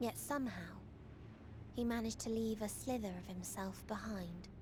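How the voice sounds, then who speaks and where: Someone does a put-on character voice at a moderate pace amid loud background noise. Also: female-sounding voice. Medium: video game. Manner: calm, detached, eerie.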